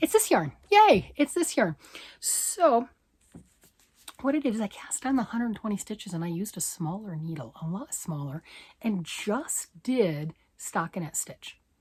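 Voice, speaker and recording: Her pitch swings very widely around a medium level as this woman talks at a moderate pace in a somewhat breathy voice. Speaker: knitting vlogger. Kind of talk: casual talk to camera.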